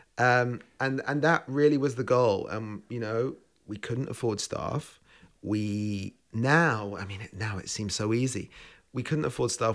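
In a London accent, a man talks at a moderate pace and medium pitch with ordinary pitch variation, on a very clean recording with a silent background. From England (London). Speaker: chef. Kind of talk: interview. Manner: hesitant fillers.

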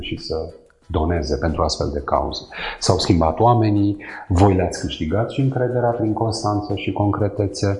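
A man's fairly low pitch with ordinary pitch variation, set against noticeable background noise. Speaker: podcast host. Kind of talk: interview.

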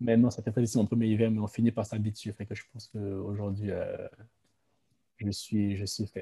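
A man with a fairly low, dark, mellow voice speaks at a moderate pace in a somewhat breathy monotone, with long, frequent pauses and big swings in loudness, in a dry, close sound with no echo. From Ivory Coast. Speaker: student and aspiring brewery owner. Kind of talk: casual interview.

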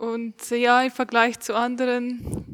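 In a very clean recording with a silent background, a woman's high-pitched voice comes through dry and close, with no echo. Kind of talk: casual chat.

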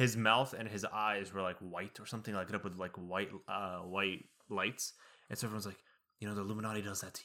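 Very fast in pace, this man talks with a fairly low pitch and a bright, sharp tone. His intonation is monotone and flat. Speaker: podcast co-host. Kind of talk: casual chat.

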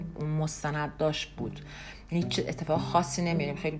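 Audible room echo surrounds the voice. Its intonation stays monotone and flat. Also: woman. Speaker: podcast host. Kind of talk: casual monologue. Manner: conversational with many fillers.

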